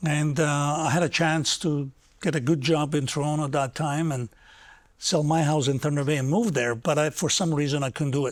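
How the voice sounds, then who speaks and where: Over a silent background in a very clean recording, a man talks at a fairly quick pace and a fairly high pitch, his intonation fairly even. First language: not English. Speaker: former city councilor. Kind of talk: interview. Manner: hesitant, with fillers.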